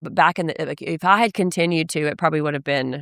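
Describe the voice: A woman speaks low in pitch, with vocal fry and fairly even intonation. The sound is dry and close, with no echo.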